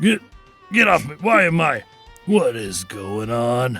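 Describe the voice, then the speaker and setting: Faint music plays behind a man doing a raspy, put-on character voice at a fairly slow pace, his pitch swinging very widely. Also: fairly high pitch for a man. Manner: angry, confused, panicked.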